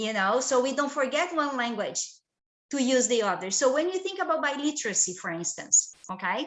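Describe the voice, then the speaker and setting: A woman with a Portuguese accent talks at a fairly quick pace in a high voice with very wide pitch swings. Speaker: professor. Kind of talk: lecture. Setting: video call. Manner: halting.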